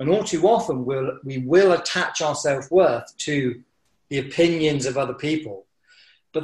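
A man talks at a fairly slow pace, his voice somewhat breathy. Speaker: mountaineering instructor and business coach. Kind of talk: casual interview chat.

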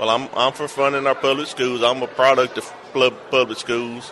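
A man with a Southern US accent talks at a fairly quick pace and a medium pitch, in a monotone, flat intonation. Noticeable background noise is present. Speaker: state legislator. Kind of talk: interview. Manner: halting, repeats words.

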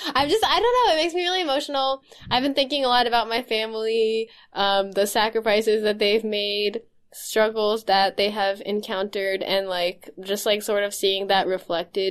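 A woman's normal speaking voice, fairly high in pitch, with ordinary pitch variation and a moderate pace. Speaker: podcast host. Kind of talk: casual chat. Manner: laughs often, informal.

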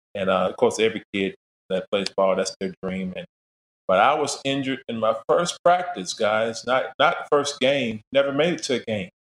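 Recorded with a dry, close sound and no echo, a man speaks at a moderate pace. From Florida, Daytona Beach. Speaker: gospel jazz musician and preacher. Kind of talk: interview storytelling.

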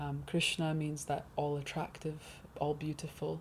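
A woman with a southern English accent speaks at a fairly slow pace. Her voice is very deep and low in pitch and somewhat breathy. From England, Hertfordshire. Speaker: musician and writer. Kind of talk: interview. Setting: studio.

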